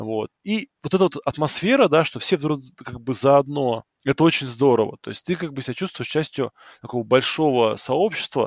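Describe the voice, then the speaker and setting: A man with an ordinary speaking voice talks at a moderate pace in a fairly high pitch, his intonation lively and his loudness swinging widely. The recording is very clean and dry, close with no echo, over a silent background. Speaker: fantasy football podcast host. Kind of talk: casual chat.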